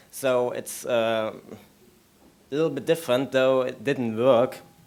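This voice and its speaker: Speaking in a German accent, a man with a medium-pitched voice keeps his intonation fairly even and leaves long, frequent pauses. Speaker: conference speaker. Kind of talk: lightning talk. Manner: halting.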